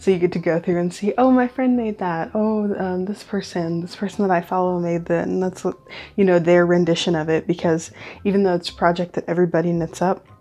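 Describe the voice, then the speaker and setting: A soft-spoken woman talks at a fairly quick pace against a quiet background. Her fairly low voice has a dark, mellow tone and fairly even intonation. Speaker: knitting podcaster. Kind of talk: casual chat. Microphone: nice mic.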